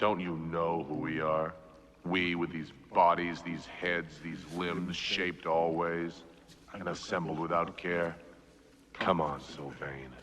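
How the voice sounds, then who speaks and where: Over clear background noise, a man uses a put-on character voice at a very deep, low pitch and a fairly slow pace. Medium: short film. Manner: solemn, probing.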